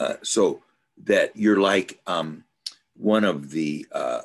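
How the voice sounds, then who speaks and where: Very slow speech from a man, the background quiet. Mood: thoughtful, musing. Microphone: video call.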